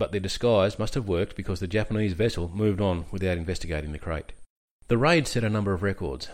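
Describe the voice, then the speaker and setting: A man's fairly low voice at a very fast pace with ordinary pitch variation, in a very clean recording with a silent background. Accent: Australian. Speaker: military history podcaster, army veteran. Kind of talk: scripted narration.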